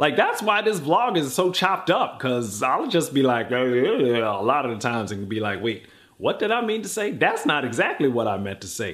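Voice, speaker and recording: A man with an American accent, very wide pitch swings, vocal fry and a moderate pace. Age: 40s. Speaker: actor and comedian living with MS, YouTuber. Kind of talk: casual interview.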